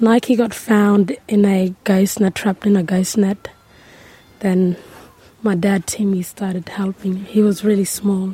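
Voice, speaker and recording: At a fairly slow pace, a woman speaks in a medium pitch with a somewhat breathy, monotone, flat delivery. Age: 19. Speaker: young community member. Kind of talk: interview. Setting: outdoors on country.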